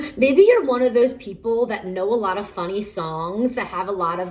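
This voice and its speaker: There is noticeable background noise behind this woman's voice. She speaks at a moderate pace with a fairly high pitch. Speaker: tarot reader. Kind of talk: pick-a-card tarot reading. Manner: halting, many fillers.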